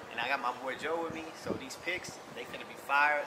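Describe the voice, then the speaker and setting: There's clear background noise in this clip. Through it, a man talks. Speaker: vlogger. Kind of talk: casual vlog chat. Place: street.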